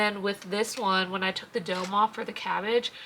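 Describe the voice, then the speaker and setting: With noticeable background noise behind her, a woman talks at a fairly quick pace. Her voice is fairly high in pitch, with fairly even intonation. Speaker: homestead vlogger. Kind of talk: casual vlog. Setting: at home on homestead. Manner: chatty.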